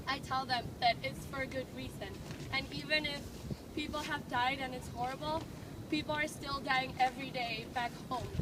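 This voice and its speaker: Noticeable background noise and audible room echo around fairly even intonation at a moderate pace. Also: woman, high pitch for a woman. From Venezuela. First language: Spanish. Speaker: student protest organizer. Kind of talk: speech at a street protest.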